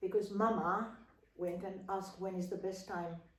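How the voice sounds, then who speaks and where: Speaking at a fairly slow pace, a woman with a medium pitch uses flat, monotone intonation amid audible room echo. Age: 70s. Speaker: opera singer and voice teacher. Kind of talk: casual interview. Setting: home.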